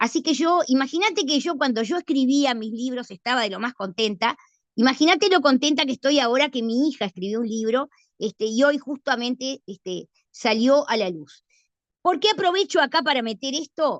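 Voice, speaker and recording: The sound is dry and close, with no echo and a quiet background. A woman speaks with lively intonation. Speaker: law professor. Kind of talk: lecture. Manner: fast.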